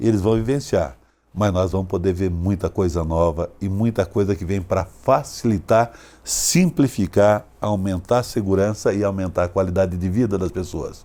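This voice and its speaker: Dark, mellow tone in a man's voice pitched fairly low. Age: 60s. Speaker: agricultural cooperative executive. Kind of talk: interview.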